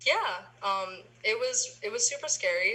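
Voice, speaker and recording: Spoken at a moderate pace with an American accent, the voice comes through over noticeable background noise. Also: woman. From northern New Jersey. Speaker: university student. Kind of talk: interview.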